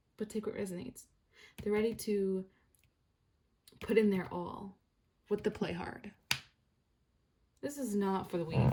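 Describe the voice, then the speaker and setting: Somewhat breathy with a dark, mellow tone, a woman speaks at a moderate pace with ordinary pitch variation. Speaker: tarot reader. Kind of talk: tarot reading.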